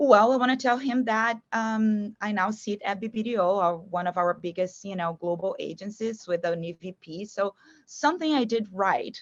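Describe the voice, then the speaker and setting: A woman speaks in a Brazilian Portuguese accent at a moderate pace. Her medium pitch has ordinary variation, and the sound is dry and close with no echo. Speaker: marketing agency executive. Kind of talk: podcast interview. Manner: warm, many fillers.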